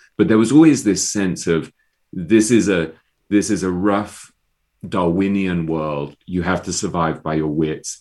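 The speaker has an English accent and a fairly slow pace with ordinary pitch variation. The recording is very clean, with a silent background. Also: man. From England. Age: 50s. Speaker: author. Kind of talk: interview. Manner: halting.

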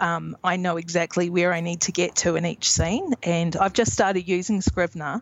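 In a New Zealand accent, a woman talks at a moderate pace with a fairly low pitch. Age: 30s. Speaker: indie author. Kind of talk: interview.

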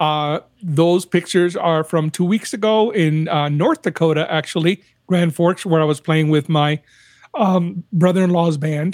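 The man's voice is high-pitched, with a dry, close sound and no echo. He talks at a fairly slow pace with fairly even intonation. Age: 60s. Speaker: saxophonist and audio engineer. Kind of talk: casual chat.

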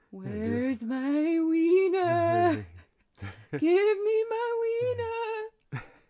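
A woman's put-on character voice, squeaky and extremely high in pitch, at a very slow pace. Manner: wailing, haunting.

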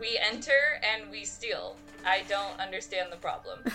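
Over clear music in the background, a woman puts on a character voice at a moderate pace.

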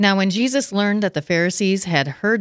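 The recording is very clean, with a silent background and a dry, close sound with no echo. A woman speaks at a moderate pace with ordinary pitch variation. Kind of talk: casual discussion, reading scripture aloud.

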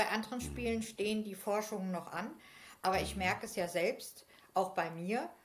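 At a moderate pace, a somewhat breathy woman speaks at a medium pitch with ordinary pitch variation, and there is audible room echo. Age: 50s. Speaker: game facilitator. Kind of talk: casual chat. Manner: hesitant, many fillers.

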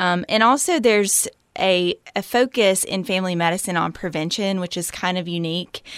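A woman with a Southern US accent, medium pitch, ordinary pitch variation and a moderate pace. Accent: Southern US (Georgia). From US South, Georgia. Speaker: family medicine physician. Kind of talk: interview.

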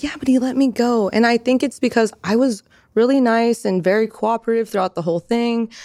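In an American accent, a woman talks at a fairly high pitch with a dark, mellow tone. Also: ordinary pitch variation, fairly quick pace, dry, close sound with no echo. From California, Merced area (Central Valley). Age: 20s. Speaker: adult content creator. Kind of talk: casual chat. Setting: studio.

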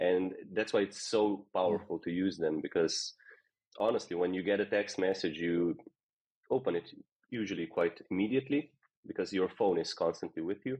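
Someone with a Slovenian accent speaks at a moderate pace with ordinary pitch variation. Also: man, fairly low pitch for a man. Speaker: software company co-founder. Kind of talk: interview.

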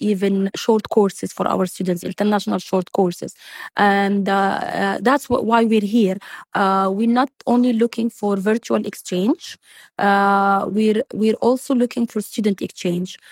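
A woman with an Arabic accent speaks at a moderate pace and medium pitch, with fairly even intonation and very even loudness. The recording is very clean with a silent background, and the sound is dry and close with no echo. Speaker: university president. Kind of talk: interview. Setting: conference venue. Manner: hesitant, many fillers.

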